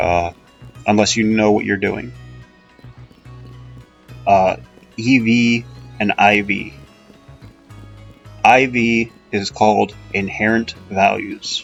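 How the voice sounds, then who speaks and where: Music plays in the background as a man speaks at a fairly low pitch with ordinary pitch variation. He goes at a very slow pace, with long, frequent pauses. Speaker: gaming video host. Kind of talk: casual gameplay commentary. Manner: hesitant, many filler sounds.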